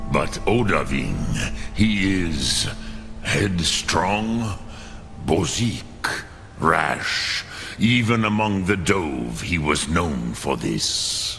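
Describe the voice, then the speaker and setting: A man uses a put-on character voice with a very deep, low pitch, speaking at a very slow pace with long, frequent pauses. Clear background noise can be heard. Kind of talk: solemn, archaic. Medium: video game. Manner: slow, deliberate, scattering dragon-tongue words.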